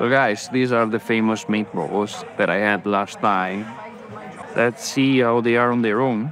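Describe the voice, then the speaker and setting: The voice moves at a fairly slow pace with ordinary pitch variation and very even loudness. The sound is dry with no echo, and music plays in the background. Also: man. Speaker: food vlogger. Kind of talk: casual vlog chat. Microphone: phone near.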